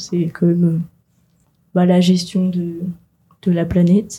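A somewhat breathy woman's voice, dark and mellow in tone, at medium pitch and a fairly slow pace. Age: young. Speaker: graphic design student, first-time voter. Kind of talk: radio interview. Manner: casual, hesitant with fillers.

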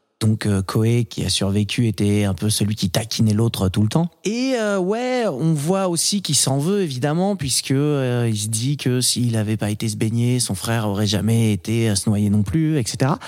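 A man with an unremarkable speaking voice talks at a fairly slow pace and a medium pitch. His intonation is lively, with hardly any pauses. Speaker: podcast host. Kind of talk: casual chat about films, debate.

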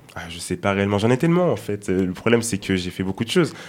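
A man talks with a fairly low pitch. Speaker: law student. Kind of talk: casual chat.

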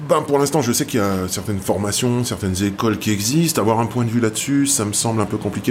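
Noticeable background noise under a man talking at a moderate pace. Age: 50s. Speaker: tattoo artist. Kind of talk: interview. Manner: hesitant.

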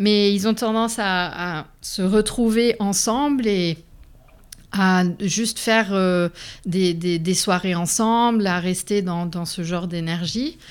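In a very clean recording with a silent background, a woman speaks very slowly at medium pitch with ordinary variation. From Lebanon and Canada. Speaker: immigrant sharing her life story. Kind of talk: interview testimony. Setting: studio.

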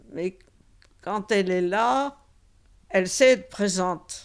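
The background is silent and the recording very clean. A woman talks at a very slow pace. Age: 90s. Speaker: elderly host of a student lodger. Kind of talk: interview testimony. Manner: hesitant.

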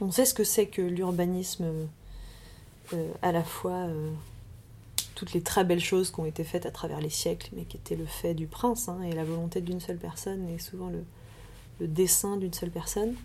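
The speaker is a woman at a moderate pace. She leaves long, frequent pauses. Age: 30s. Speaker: urban planner and landscape designer. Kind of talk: interview. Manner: halting, many repetitions and fillers.

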